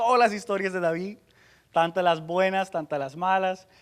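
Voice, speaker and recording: This man talks in a high pitch. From United States. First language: English (speaking Spanish). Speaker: pastor. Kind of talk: sermon. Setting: church conference with audience. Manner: halting.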